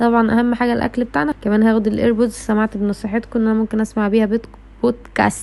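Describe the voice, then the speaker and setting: Over noticeable background noise, a woman with an Egyptian accent rushes along very fast in a fairly high, monotone, flat voice with very even loudness and hardly any pauses. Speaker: vlogger, university student. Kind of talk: vlog.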